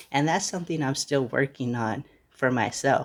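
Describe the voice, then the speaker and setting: A man talks at a moderate pace and a medium pitch. His is an unremarkable speaking voice with ordinary pitch variation. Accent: American. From United States. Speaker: podcast host. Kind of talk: casual monologue. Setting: at grandmother's house.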